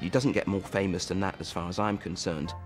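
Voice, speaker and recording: Clear music plays in the background. Over it, a man talks with a very deep, low pitch. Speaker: art historian at a national gallery. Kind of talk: TV documentary interview answer. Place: hall. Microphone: lapel.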